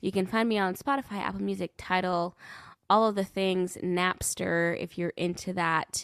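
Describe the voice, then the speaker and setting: Recorded dry and close with no echo and a silent background, very clean, a woman speaks at medium pitch and moderate pace with fairly even intonation. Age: 20s. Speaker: singer-songwriter. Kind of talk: casual interview.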